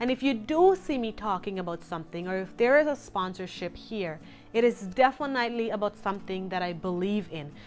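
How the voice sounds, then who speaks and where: A woman talks at a fairly quick pace with a non-native accent and lively intonation, with music playing in the background. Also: medium pitch for a woman. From Guyana. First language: not English. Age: 30s. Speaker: lifestyle vlogger. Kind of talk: casual vlog talk to camera.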